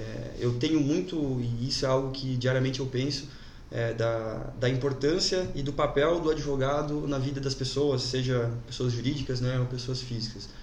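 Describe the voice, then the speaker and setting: With audible room echo and noticeable background noise, a man at a medium pitch talks at a moderate pace and with fairly even intonation. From Brazil, Jaraguá do Sul, Santa Catarina. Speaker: lawyer. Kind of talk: casual interview. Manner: halting, many fillers.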